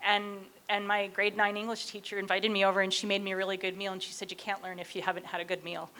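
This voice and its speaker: A woman at medium pitch, very fast, with monotone, flat intonation and a bright, sharp tone. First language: not English. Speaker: professor. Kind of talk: panel discussion.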